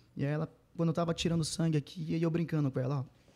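A man speaks at a very fast pace. His pitch is fairly high and his intonation fairly even. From Pará, Brazil (Mãe do Rio). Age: 30s. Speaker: sertanejo singer. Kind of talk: casual interview.

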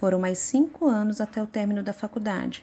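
Somewhat breathy, a woman with a fairly high voice speaks at a moderate pace. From Brazil, Minas Gerais (Contagem). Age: 30s. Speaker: dentist. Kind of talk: prepared personal statement.

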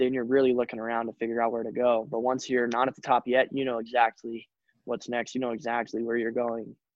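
Talking at a fairly quick pace, a man uses an unremarkable speaking voice at a medium pitch. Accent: American. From US, Colorado (Telluride). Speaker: professional snowboarder. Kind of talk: casual interview.

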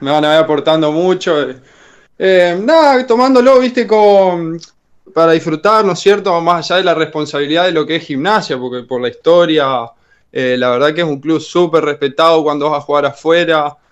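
Here is a man with an unremarkable speaking voice. His pitch is fairly high, his intonation lively, and his pace moderate. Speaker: basketball player. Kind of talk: radio interview.

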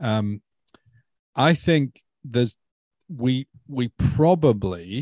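Recorded dry and close with no echo against a quiet background, the voice carries a Stoke accent. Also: man. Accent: English Midlands (Stoke). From England, Stoke-on-Trent. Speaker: ministry development director. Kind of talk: casual chat.

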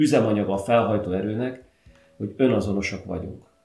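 At a moderate pace and with ordinary pitch variation, a man speaks amid audible room echo. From Hungary, Szentes. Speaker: podcast host. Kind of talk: casual chat.

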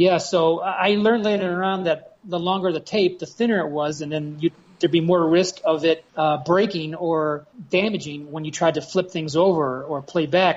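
A man's fairly high voice at a moderate pace, with fairly even intonation and few pauses

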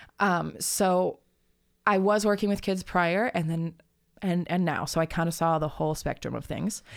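A woman with an American accent and an ordinary speaking voice talks at a moderate pace, fairly low and with fairly even intonation, in a very clean recording with a silent background. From Arizona, US (Tucson). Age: 20s. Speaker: musician and therapist. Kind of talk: casual chat. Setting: in-person at host's home.

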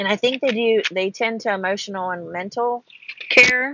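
An unremarkable speaking voice with an American accent, ordinary pitch variation and a fairly slow pace. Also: woman. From Ohio. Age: 40s. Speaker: podcast host. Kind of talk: casual chat. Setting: in a car.

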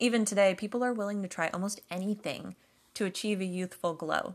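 A woman's fairly quick delivery in an ordinary speaking voice, fairly even intonation, and a very clean recording with a silent background. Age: 30s. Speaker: podcast host. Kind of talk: scripted narration.

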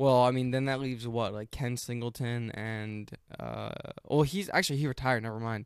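A man with a normal speaking voice talks at a fairly quick pace. His medium pitch follows fairly even intonation. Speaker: sports podcast co-host, student. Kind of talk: casual chat.

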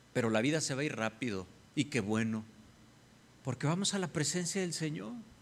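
Lively in intonation, a man speaks in an ordinary speaking voice with a fairly high pitch. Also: fairly quick pace. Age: 50s. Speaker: pastor. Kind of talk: sermon.

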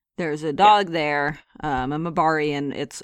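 Against a quiet background, a woman speaks in a very deep, low voice with fairly even intonation and a dry, close sound with no echo. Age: 30s. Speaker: video game podcast co-host. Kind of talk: casual chat.

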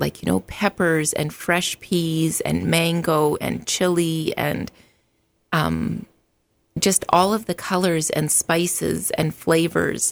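A woman with a western Canadian accent speaks at a fairly slow pace. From Alberta, Canada. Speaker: meal prep business owner. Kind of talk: casual interview. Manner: frequent filler ums.

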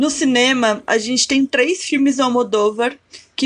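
At a fairly slow pace, a woman with a normal speaking voice talks with fairly even intonation. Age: 20s. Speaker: cultural producer and art historian. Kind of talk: casual chat.

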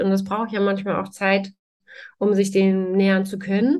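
A woman's ordinary speaking voice at medium pitch and a moderate pace. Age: 40s. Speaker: trauma therapist. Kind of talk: interview.

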